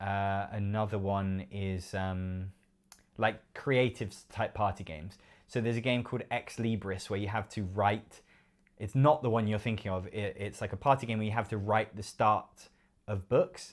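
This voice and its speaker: Recorded very cleanly against a silent background, a man with a fairly low pitch speaks at a moderate pace with fairly even intonation. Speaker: board game youtuber. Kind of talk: live stream Q&A. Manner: hesitant, many fillers.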